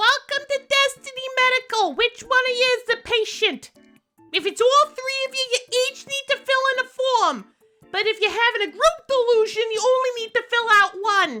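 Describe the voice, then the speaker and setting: A put-on character voice at an extremely high pitch, with faint music in the background. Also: moderate pace. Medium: audio drama. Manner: dry, sarcastic.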